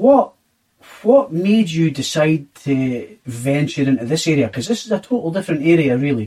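This man speaks with a Scottish accent at a fairly high pitch. His moderate pace carries very wide pitch swings. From Scotland. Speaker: podcast host, hospitality worker. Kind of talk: casual interview chat.

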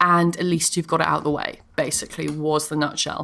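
In a British accent, a woman speaks at a fairly low pitch. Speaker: comedian. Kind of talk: casual chat. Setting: at home. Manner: clear, careful radio voice; animated.

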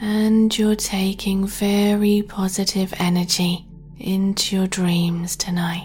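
A woman speaks at a very slow pace in a medium pitch, her intonation flat and monotone. Her loudness stays very even, with music playing in the background. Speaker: sleep meditation guide. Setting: studio recording. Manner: slow, hushed and soothing, drawn-out countdown; gentle, nurturing, reassuring tone.

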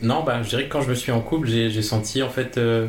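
There is audible room echo and noticeable background noise. A man speaks at medium pitch with fairly even intonation. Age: 20s. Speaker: podcast guest. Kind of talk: personal interview.

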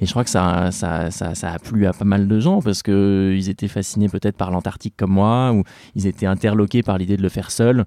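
A man speaks at a fairly quick pace with a fairly low pitch, a dark, mellow tone and fairly even intonation. The sound is dry and close with no echo, on a very clean recording with a silent background. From Normandy, France. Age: 30s. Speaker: polar explorer. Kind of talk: interview storytelling. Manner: hesitant with many fillers and repetitions.

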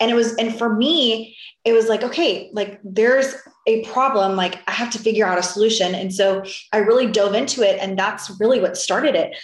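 A woman speaks at a fairly quick pace with an American accent. The room echo is audible. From Florida. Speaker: short sale real estate business owner. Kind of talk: interview.

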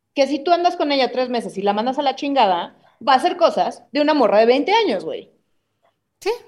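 Against a quiet background, a woman with a Mexican accent talks at a fairly quick pace. Her high voice moves through very wide pitch swings. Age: 30s. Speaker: comedian. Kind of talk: casual chat.

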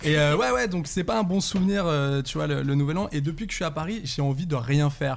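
In a normal speaking voice, a man talks at a fairly quick pace with ordinary pitch variation and hardly any pauses. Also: fairly high pitch for a man. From Saint-Étienne, France. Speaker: actor and screenwriter. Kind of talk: casual chat.

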